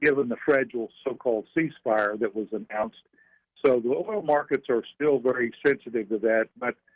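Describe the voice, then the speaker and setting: Speaking with a Southern US accent, a man uses a medium pitch, ordinary pitch variation and a moderate pace. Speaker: financial strategist. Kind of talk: radio interview.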